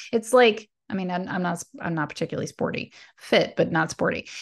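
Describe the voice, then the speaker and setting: A woman's unremarkable speaking voice with fairly low pitch, ordinary pitch variation and a fairly quick pace over a quiet background. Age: 40s. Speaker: podcast host and spiritual wellness coach. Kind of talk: solo channeled spiritual talk. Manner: casual with frequent fillers and laughs.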